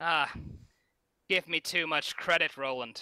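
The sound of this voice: A man does a put-on character voice with a slight Irish accent, pitched fairly high. He speaks at a fairly slow pace, recorded dry and close with no echo. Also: fairly even intonation, very clean recording, silent background. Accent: slightly Irish.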